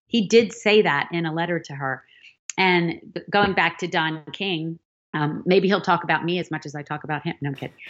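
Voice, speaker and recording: Showing big swings in loudness, a woman with a normal speaking voice and a fairly low pitch talks at a fairly quick pace with ordinary pitch variation. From Philadelphia, US. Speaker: novelist. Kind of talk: podcast interview.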